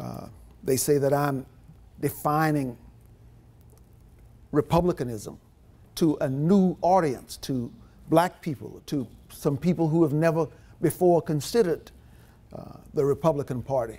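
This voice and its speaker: A man speaks at a fairly high pitch and a fairly slow pace, with long, frequent pauses. His tone is dark and mellow, his pitch varies in an ordinary way, and the recording is very clean against a silent background. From Louisiana Cajun country, Opelousas. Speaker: politician. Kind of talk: political speech.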